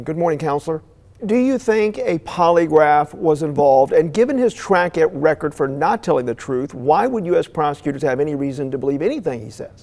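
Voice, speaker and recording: A man with an unremarkable speaking voice, fairly high in pitch, moves at a fairly quick pace with lively intonation. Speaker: morning news anchor. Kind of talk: TV news anchoring.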